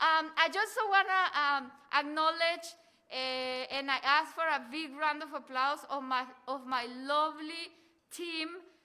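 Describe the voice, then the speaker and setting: In a Mexican accent, a woman speaks in a raised, projected voice with a high pitch and bright, sharp tone, at a fairly slow pace with fairly even intonation and long, frequent pauses, over a very clean recording with a silent background. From Mexico. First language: Spanish. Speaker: cultural center director and event host. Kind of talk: event announcements. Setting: live event with audience. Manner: halting.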